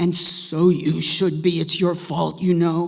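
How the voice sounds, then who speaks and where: Doing a put-on character voice, a woman growls at a fairly low pitch, sounding hoarse and raspy. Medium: read story. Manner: gruff, grumpy, menacing.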